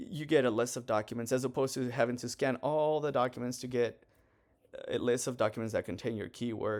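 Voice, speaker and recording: A man's plain, everyday voice at medium pitch, fairly quick and fairly even in intonation, on a very clean recording with a silent background. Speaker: student presenting software project. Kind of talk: technical project walkthrough.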